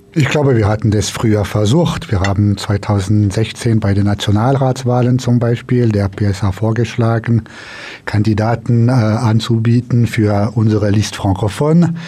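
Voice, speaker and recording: Speaking at a fairly slow pace, a man with a medium pitch keeps his intonation fairly even and his loudness very even, with noticeable background noise behind him. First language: French (speaking German). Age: 50s. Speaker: politician. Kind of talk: radio interview. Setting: studio.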